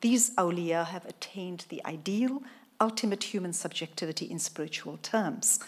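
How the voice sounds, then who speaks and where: Her loudness swings widely from moment to moment. This woman's voice sits at a medium pitch with ordinary pitch variation. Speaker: professor. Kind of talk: lecture. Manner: fast.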